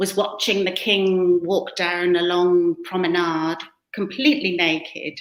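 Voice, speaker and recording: A woman speaks with a British accent and ordinary pitch variation. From western England, near the Welsh border. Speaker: author and photographer. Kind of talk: interview conversation. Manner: hesitant, many fillers.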